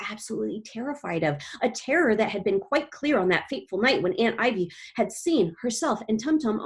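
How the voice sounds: Lively intonation in a natural reading voice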